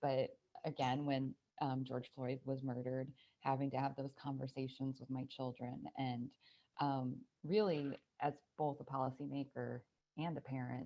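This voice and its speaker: Delivered at a moderate pace, the speech stays monotone and flat, broken by long, frequent pauses. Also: woman, very deep, low pitch for a woman. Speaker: state senator. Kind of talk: panel discussion.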